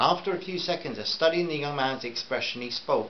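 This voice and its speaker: A man talks at a fairly high pitch. Noticeable background noise and audible room echo surround his voice. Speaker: author reading his own novel. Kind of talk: reading aloud; casual outro to listeners. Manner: animated, voices characters.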